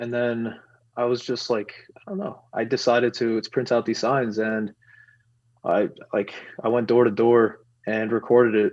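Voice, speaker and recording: With a New York accent, a man speaks at medium pitch and a moderate pace. His intonation is monotone and flat, broken by long, frequent pauses. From New York City. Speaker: activist, movement founder. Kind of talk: podcast interview. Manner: halting, many fillers.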